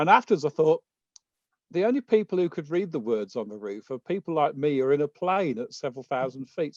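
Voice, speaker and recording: Lively intonation marks a man talking with a British accent. His very fast speech has a dry, close sound with no echo. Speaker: conference organizer. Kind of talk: speaker introduction. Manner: halting, many fillers.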